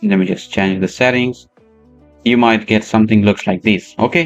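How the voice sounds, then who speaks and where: A man is speaking. He has a non-native accent. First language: not English. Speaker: 3D software tutor. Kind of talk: tutorial. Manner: halting, many fillers.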